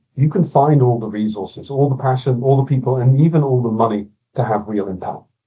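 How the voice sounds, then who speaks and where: A man with a medium-pitched, slightly breathy voice talks fairly quickly. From Scotland, Glasgow. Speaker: innovation consultant. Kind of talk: podcast interview.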